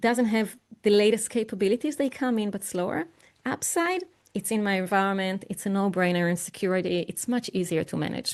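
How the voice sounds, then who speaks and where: Talking at a fairly quick pace, a woman with an unremarkable speaking voice holds a medium pitch with ordinary variation. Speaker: AI expert and keynote speaker. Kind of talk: online presentation with live software demo.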